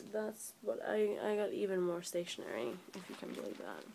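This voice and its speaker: Light noise is present in the background. The woman delivers her words fairly slowly. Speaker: vlogger. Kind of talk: casual talk to camera. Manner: sleepy. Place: home room. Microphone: phone near.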